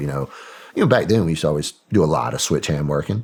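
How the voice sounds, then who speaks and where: A man talks with a Southern accent. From Arkansas, US South. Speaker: former special operations soldier and CIA contractor. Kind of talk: casual interview chat.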